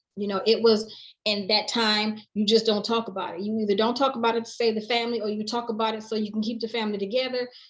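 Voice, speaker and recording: The woman's voice is fairly high and monotone, with flat intonation. She speaks very fast with hardly any pauses. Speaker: interviewee sharing life story. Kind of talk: personal testimony in interview. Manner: loud.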